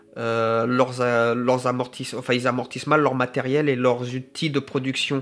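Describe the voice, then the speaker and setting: A man talks at a fairly slow pace. His intonation is monotone and flat, and his loudness stays very even. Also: medium pitch for a man. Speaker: gardener and self-employed small business owner. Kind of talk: unscripted vlog monologue. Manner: halting, many fillers and self-corrections.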